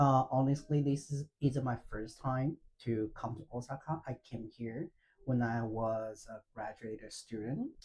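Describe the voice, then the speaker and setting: A man's somewhat breathy voice at a fairly slow pace, with fairly even intonation. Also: medium pitch for a man. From China, Fujian province. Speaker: freelance language teacher. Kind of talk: interview, personal story. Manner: halting, many fillers.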